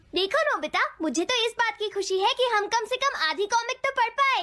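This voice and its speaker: A put-on character voice comes through at an extremely high pitch. The pace is fairly quick. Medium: fan dub. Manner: fussy, motherly.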